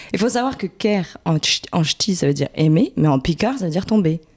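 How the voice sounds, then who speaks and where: A woman speaks at a moderate pace in a fairly low voice. Her intonation is lively. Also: very even loudness, dry, close sound with no echo. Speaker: podcast guest. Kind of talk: casual chat.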